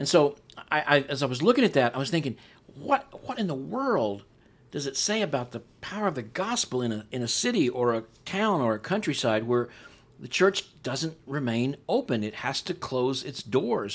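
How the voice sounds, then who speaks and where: With an unremarkable speaking voice, a man talks at a moderate pace with a fairly high pitch and lively intonation. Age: 60s. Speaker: pastor and author. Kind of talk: casual chat. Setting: studio.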